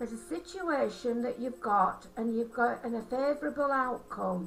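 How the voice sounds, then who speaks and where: A woman with a Yorkshire accent speaks at a moderate pace in a high voice with lively intonation, over noticeable background noise. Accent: broad Yorkshire. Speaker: angel card reader and holistic therapist. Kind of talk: card reading. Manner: halting.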